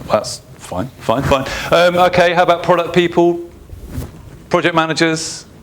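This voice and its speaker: A man talks at a high pitch with monotone, flat intonation and long, frequent pauses. Noticeable background noise runs underneath. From England. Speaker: UX consultant and conference speaker. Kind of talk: conference talk. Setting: stage with audience. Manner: fast.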